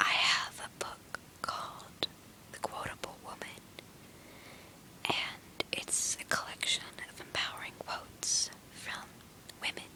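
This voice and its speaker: A woman whispers with long, frequent pauses and big swings in loudness over noticeable background noise. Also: fairly slow pace. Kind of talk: ASMR whisper reading; casual talk to camera. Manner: whispered.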